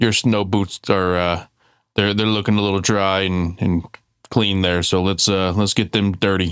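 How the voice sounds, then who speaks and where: A gruff, put-on character voice moves at a fairly slow pace in a very clean recording with a silent background. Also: man. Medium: actual play.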